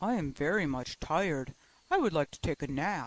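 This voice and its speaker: A man does a put-on character voice at a fairly high pitch. He keeps to a moderate pace. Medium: read story.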